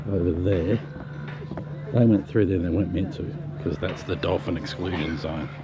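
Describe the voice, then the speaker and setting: With an Australian accent and lively intonation, a man talks at a moderate pace over noticeable background noise. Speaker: travel vlogger. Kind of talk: casual vlog narration. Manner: whispering.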